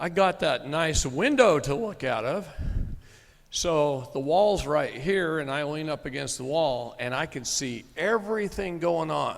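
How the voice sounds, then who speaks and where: An ordinary speaking voice from a man with an American accent, fairly high in pitch, at a fairly slow pace with lively intonation. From Texas. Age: 50s. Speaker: sovereign citizen movement speaker. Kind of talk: live seminar talk with storytelling.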